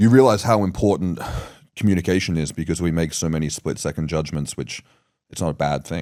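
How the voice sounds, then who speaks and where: A man with an Australian accent talks at a fairly quick pace in a very deep, low pitch. The recording is very clean, with a silent background. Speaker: podcast host. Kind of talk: casual interview chat. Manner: fast.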